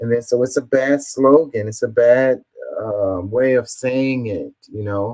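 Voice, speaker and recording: A man with an American accent and a medium pitch, at a fairly slow pace with fairly even intonation. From Houston, Texas. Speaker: political commentary streamer. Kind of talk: reading and reacting to comments. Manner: halting, stumbling over words.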